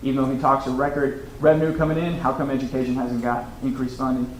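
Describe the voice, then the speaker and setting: A man with an American accent at a very fast pace, amid noticeable background noise and audible room echo. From Oklahoma. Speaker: political candidate. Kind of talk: political debate.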